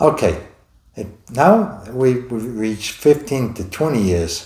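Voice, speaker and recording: A somewhat breathy man with an American accent, medium pitch, lively intonation, very slow pace, big swings in loudness and audible room echo. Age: 70s. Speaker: stroke survivor vlogger. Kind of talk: personal testimony. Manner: halting.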